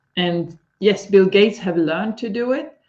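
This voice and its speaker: A woman speaks with a Swedish accent. Her pitch is medium. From Sweden. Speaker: leadership coach. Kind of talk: live stream interview.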